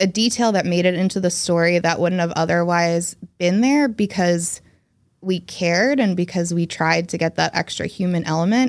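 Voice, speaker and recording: In a normal speaking voice with an American accent, a woman speaks at a moderate pace, her pitch fairly low with ordinary variation and her loudness very even, on a very clean recording with a silent background. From New Jersey, US. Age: 30s. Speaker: journalist. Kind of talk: casual chat.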